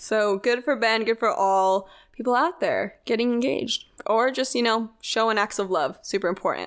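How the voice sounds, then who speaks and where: The recording is very clean against a silent background. It features an unremarkable speaking voice with ordinary pitch variation. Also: woman, fairly high pitch for a woman, moderate pace, very even loudness. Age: 20s. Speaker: podcast co-host. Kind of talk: casual chat.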